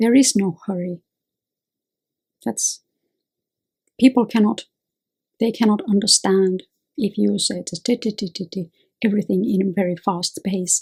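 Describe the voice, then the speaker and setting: A somewhat breathy woman at a moderate pace and medium pitch, with ordinary pitch variation, long, frequent pauses and a dry, close sound with no echo. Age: 50s. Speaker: lawyer and self-help video host. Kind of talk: advice monologue.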